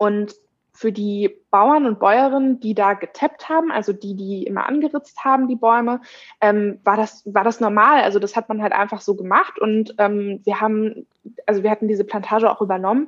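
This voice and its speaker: Fairly high female pitch in a plain, everyday voice, ordinary pitch variation, moderate tempo. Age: 20s. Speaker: social media and events staff at a company. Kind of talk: interview.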